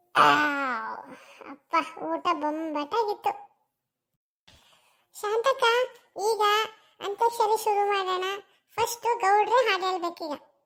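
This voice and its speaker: Using a cartoonish character voice, a woman speaks at an extremely high pitch and a very slow pace with ordinary pitch variation. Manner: folksy, warm.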